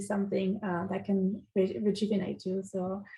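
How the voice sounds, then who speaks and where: A woman is speaking. She has a French accent. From France. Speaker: city energy advisor. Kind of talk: webinar self-introduction. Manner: hesitant, many fillers.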